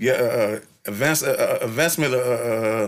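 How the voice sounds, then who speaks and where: A man with a Bay Area accent, medium pitch and a moderate pace. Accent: Bay Area swing in his speech. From San Francisco Bay Area (East Oakland, then North Vallejo). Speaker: rapper. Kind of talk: interview. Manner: halting, many fillers and repetitions.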